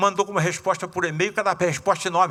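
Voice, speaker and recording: The voice is raised and projected, with a bright, sharp tone. Its pace is moderate. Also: man. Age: 70s. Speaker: surgeon and spiritist lecturer. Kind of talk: lecture. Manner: casual, animated.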